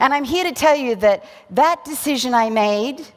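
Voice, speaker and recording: Here is a woman with an Australian accent and a high pitch. Her intonation is lively and her pace moderate. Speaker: physician and keynote speaker. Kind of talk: motivational keynote speech.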